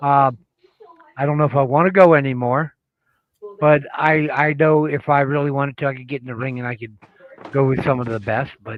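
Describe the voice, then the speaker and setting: Fairly quick but with long, frequent pauses, a man with an American accent speaks at a fairly high pitch, his intonation fairly even and his loudness swinging widely. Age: 60s. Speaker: retired pro wrestler. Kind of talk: casual chat.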